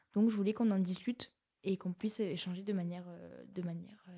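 Her voice is a woman's, medium in pitch and dark and mellow in tone. The intonation is fairly even. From southern France, Aveyron (Rodez). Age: 20s. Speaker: work-study student. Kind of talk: casual chat.

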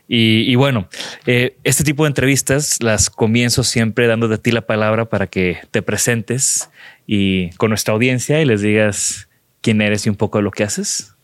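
A man speaks in a normal speaking voice at a medium pitch and a moderate pace, with ordinary pitch variation. The sound is dry and close with no echo, and the loudness stays very even. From Mexico, not Monterrey. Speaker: podcast host, designer. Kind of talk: interview conversation. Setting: sponsor showroom in Mexico City.

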